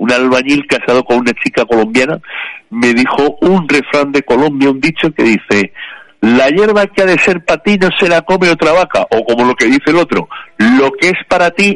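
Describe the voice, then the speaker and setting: In a plain, everyday voice, a man speaks at a moderate pace in a fairly high pitch, with ordinary pitch variation and very even loudness. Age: 50s. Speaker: radio contributor. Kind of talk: casual chat.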